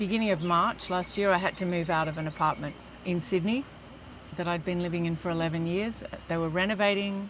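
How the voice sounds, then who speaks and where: In an Australian accent, a woman speaks at a moderate pace with fairly low pitch and fairly even intonation. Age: 60s. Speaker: metabolic health coach. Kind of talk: interview answer.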